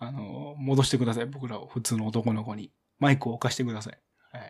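A man with a Kansai accent speaks at a very fast pace in a somewhat breathy voice at a medium pitch. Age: 20s. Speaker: podcast host. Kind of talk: casual chat. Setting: live stream recording. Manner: animated.

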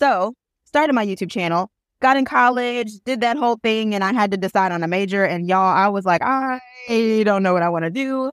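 With an American accent and a normal speaking voice, a woman speaks at a fairly quick pace with ordinary pitch variation. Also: fairly high pitch for a woman. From Michigan, Flint. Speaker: attorney and content creator. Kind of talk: podcast interview.

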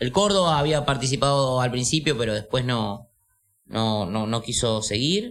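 A man in a Rioplatense accent speaks at a moderate pace with lively intonation. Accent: Rioplatense Spanish (porteño). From Buenos Aires city, Argentina. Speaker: roller skater. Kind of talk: casual chat. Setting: studio.

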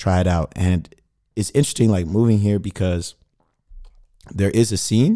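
A man with an American accent and a dark, mellow tone speaks at a moderate pace with ordinary pitch variation and long, frequent pauses. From Sacramento, Northern California. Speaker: rapper. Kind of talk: casual interview chat. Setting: radio studio.

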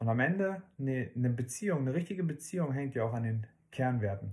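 A man speaks at a moderate pace in a medium pitch, his voice somewhat breathy, on a very clean recording with a silent background. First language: not German (speaking German). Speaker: parenting podcast co-host. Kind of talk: casual chat.

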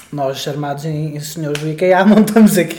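A man speaks at a fairly high pitch in a European Portuguese accent. Noticeable background noise and audible room echo are present. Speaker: podcast co-host. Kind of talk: casual chat. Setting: home living room.

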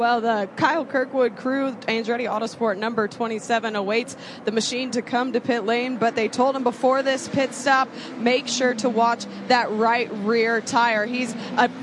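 A woman's high-pitched voice at a moderate pace, with fairly even intonation, very even loudness and noticeable background noise. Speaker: pit reporter. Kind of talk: live pit reporting.

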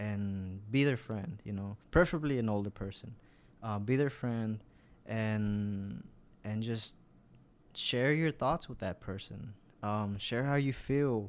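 Over a very clean recording with a silent background, a man with an American accent speaks very slowly at a fairly low pitch, with ordinary pitch variation and long, frequent pauses. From US South (Arkansas, Georgia). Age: 20s. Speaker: church volunteer. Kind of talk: interview, personal testimony. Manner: halting, many fillers.

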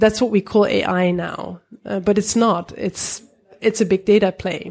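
In a Dutch accent, a woman speaks at medium pitch with vocal fry. Her delivery is fairly slow and monotone, with flat intonation. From Netherlands. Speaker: tech startup co-founder. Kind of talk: casual interview. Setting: office.

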